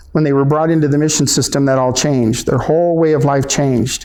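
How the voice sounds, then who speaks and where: Delivered at a very fast pace, the voice carries a dark, mellow tone and fairly even intonation, with audible room echo. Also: man. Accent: American. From Southern California, San Juan Capistrano. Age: 60s. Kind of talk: public talk. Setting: library event. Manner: halting.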